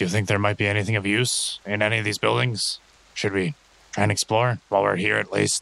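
A man's put-on character voice at a very fast pace. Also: fairly low pitch for a man. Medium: actual play. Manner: dry, sardonic.

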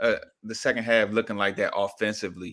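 A man's fairly low, bright, sharp voice with an American accent. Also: very clean recording, silent background. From Washington, D.C. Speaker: football fan guest. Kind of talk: casual chat.

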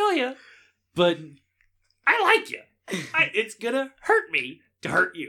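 A man puts on a character voice at an extremely high pitch, talking at a fairly slow pace with long, frequent pauses. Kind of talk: comic character voice. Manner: casual, chatty, impressed.

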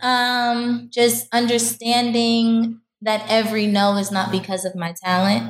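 A somewhat breathy voice speaks with a New York accent. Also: woman. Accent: New York City. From Harlem, New York City. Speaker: professional dancer. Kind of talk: interview.

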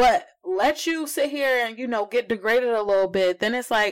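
Over a silent background in a very clean recording, a woman uses an ordinary speaking voice at a moderate pace with ordinary pitch variation. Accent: American. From New Jersey. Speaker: podcast host guest. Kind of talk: casual chat.

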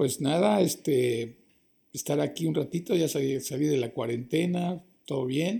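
A man's fairly high, somewhat breathy voice with a dark, mellow tone, fairly slow pace and ordinary pitch variation. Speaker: actor. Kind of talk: interview.

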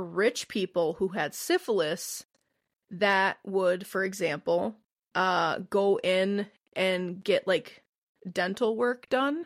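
A woman's medium-pitched voice with a Midwestern American accent and ordinary pitch variation, in a very clean recording with a silent background. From US Midwest. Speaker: podcast co-host. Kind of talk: casual chat.

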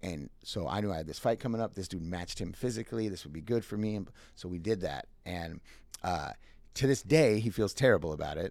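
An American-accented man with a normal speaking voice, fairly low in pitch, fairly quick in pace, lively in intonation, on a very clean recording with a silent background. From Minnesota. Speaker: restaurant manager. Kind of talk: casual interview storytelling.

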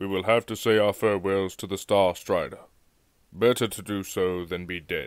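A man uses a put-on character voice at a fairly low pitch. He keeps a moderate pace, and the recording is very clean with a silent background. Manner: urgent, sorrowful, commanding.

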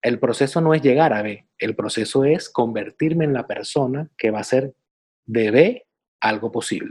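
In an ordinary speaking voice of medium pitch, a man talks at a moderate pace with ordinary pitch variation. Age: 40s. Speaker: podcast co-host, personal development coach. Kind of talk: casual chat.

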